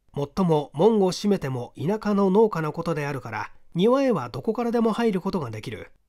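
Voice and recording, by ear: On a very clean recording with a silent background, a man talks at a fairly quick pace in a high, slightly mellow voice with big pitch swings.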